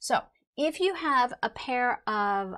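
Over a quiet background, a woman talks at a very slow pace. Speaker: instructor. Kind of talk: lecture. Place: studio.

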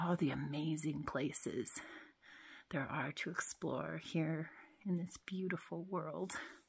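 Vocal fry runs through speech at a very slow pace with fairly even intonation. The background is quiet. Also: woman, very deep, low pitch for a woman. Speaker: parent vlogger. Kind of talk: casual vlog chat. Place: tunnel cave. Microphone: phone near.

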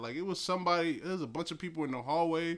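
An American man talks at a fairly quick pace in an animated tone, with an American accent. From New Jersey. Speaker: podcast host, hip-hop commentator. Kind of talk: casual solo commentary. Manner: animated, rambling with fillers. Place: home room. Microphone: phone near.

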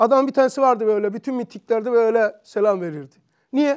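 A man at an extremely high pitch, moderate pace and ordinary pitch variation, quiet background. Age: 60s. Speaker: religious teacher. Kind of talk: religious lesson. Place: classroom. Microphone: lapel.

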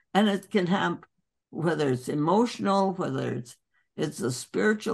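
At a moderate pace over a quiet background, a woman talks in a fairly low pitch with vocal fry. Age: 80s+. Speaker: doctor. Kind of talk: interview answer. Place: home room. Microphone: video call.

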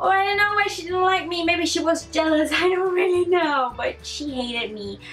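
Faint music sits behind a woman speaking with a non-native accent. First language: not English. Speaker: vlogger. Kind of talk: casual talk to camera. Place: home room. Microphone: camera far.

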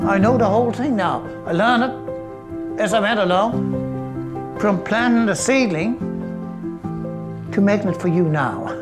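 A man at a moderate pace with long, frequent pauses, clear music in the background. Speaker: coffee farmer and roaster. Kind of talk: documentary interview answer. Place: kitchen.

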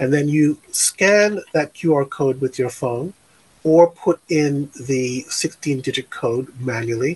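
Speaking very slowly with an American accent, a man uses a somewhat breathy, fairly high voice with ordinary pitch variation. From New York, Brooklyn; New York. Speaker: tech company founder; guest. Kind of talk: interview. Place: home room. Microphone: studio mic.

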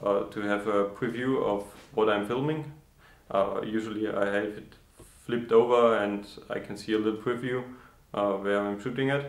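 In a room with audible echo, a man speaks at a moderate pace with fairly even intonation and long, frequent pauses. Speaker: woodworking channel host. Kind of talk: casual vlog chat. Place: workshop. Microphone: camera far.

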